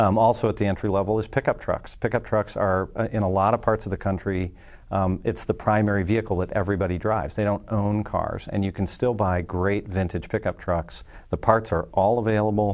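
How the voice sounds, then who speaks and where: Against a quiet background, a man with a plain, everyday voice talks at a fairly quick pace, his fairly low pitch held in fairly even intonation. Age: 40s. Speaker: insurance company executive. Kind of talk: casual chat. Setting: studio.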